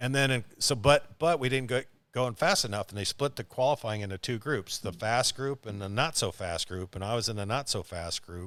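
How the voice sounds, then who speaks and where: Lively intonation at a fairly quick pace with hardly any pauses, on a very clean recording with a silent background. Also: man, medium pitch for a man. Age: 60s. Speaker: race car driver. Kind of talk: casual chat. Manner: animated.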